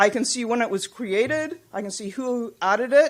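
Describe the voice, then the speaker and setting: The woman has a normal speaking voice with a fairly high pitch. She talks at a moderate pace with lively intonation. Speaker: patient representative and computer scientist presenting at a conference. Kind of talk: conference presentation.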